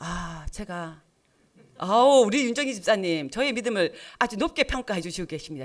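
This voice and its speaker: Her pitch is medium, swinging very widely up and down. The background is silent on a very clean recording. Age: 60s. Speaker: lay preacher, church deacon. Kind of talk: sermon. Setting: church with congregation. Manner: interactive, asks congregation questions.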